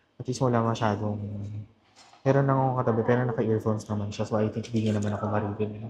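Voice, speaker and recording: A soft-spoken man talks in a monotone with flat intonation. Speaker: vlogger. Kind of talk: casual vlog talk. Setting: coffee shop.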